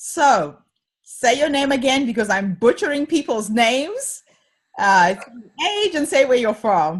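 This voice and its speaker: The woman speaks at a fairly slow pace in a high pitch, with very wide pitch swings. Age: 50s. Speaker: podcast host. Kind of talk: interview.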